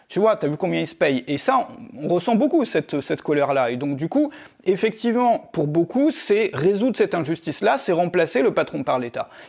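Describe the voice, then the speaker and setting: Here a man speaks at a high pitch and a fairly quick pace, his pitch swinging very widely. The recording is very clean, with a silent background. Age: 40s. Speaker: online entrepreneur and video creator. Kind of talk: casual monologue to camera. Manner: fast; halting, many fillers.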